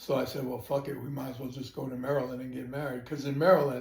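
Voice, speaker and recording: A man speaks at a fairly quick pace in a monotone, flat delivery, his voice somewhat breathy and medium in pitch. Room echo is audible. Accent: American. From New York City (Brooklyn). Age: 70s. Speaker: grandfather, retired supervisor. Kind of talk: family interview. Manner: casual, halting.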